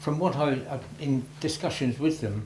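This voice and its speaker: A man speaks in a fairly high pitch with vocal fry. Audible room echo surrounds his voice. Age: 80s+. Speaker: war veteran. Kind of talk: talk to schoolchildren.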